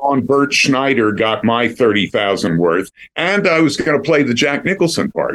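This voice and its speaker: At a fairly slow pace, a man with an American accent and fairly high pitch shows very wide pitch swings, vocal fry, and very even loudness. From Philadelphia. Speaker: actor and voiceover artist. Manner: polished, warm, storytelling.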